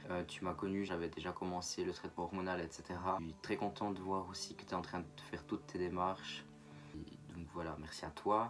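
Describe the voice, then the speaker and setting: Music plays in the background as a man talks at a fairly quick pace. His pitch is very deep and low, with ordinary variation. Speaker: YouTuber. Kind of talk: vlog monologue. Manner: halting, with frequent fillers.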